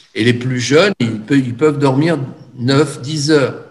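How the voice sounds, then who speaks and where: Audible room echo surrounds a very slow delivery with ordinary pitch variation. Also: man. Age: 70s. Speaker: energy therapist and teacher. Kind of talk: lecture. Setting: video call. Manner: halting.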